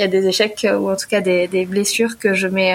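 A woman at a fairly quick pace with fairly even intonation, against noticeable background noise. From southwest France, Pau. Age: 30s. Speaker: self-employed pastry chef. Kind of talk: podcast interview. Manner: laughs often.

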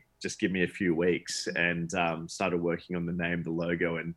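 A man with an Australian accent speaks at a moderate pace. His pitch is very deep and low, and the background is quiet. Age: 30s. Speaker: charity event founder. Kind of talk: interview conversation.

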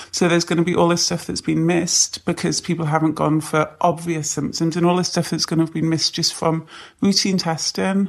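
A woman with a British accent speaks at a fairly low pitch and a fairly quick pace. Her intonation is monotone and flat, and the background is quiet. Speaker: nurse. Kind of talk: interview.

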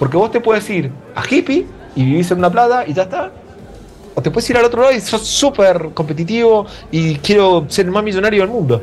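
A man with an Argentine accent, high-pitched and lively in intonation, at a fairly quick pace over music in the background. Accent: Argentine Spanish (rioplatense voseo). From Argentina, Mendoza. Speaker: advertising creative director. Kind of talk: casual chat. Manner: halting, with repeated words.

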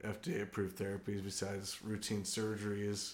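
Amid audible room echo, a man talks at a moderate pace and a fairly low pitch. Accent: American. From San Diego, California. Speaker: biochemistry professor. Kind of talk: casual interview.

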